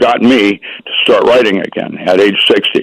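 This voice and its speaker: A man speaks with vocal fry. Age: 70s. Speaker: author. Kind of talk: radio interview. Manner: halting.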